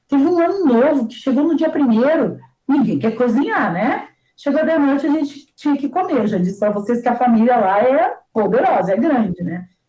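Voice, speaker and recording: The pitch rises and falls very widely. The pace stays moderate. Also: woman, high pitch for a woman. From southern Brazil, Porto Alegre. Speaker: teacher. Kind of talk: casual chat. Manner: animated.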